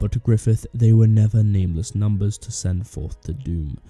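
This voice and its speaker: A man speaks at a moderate pace in a fairly low pitch, with ordinary pitch variation and music in the background. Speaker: video essayist. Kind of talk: analytical video essay narration.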